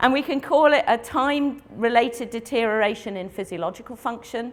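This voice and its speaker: A woman with an RP accent talks at a fairly quick pace, her fairly high pitch carried by lively intonation. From England. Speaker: veterinary internal medicine specialist. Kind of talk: lecture. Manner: fast.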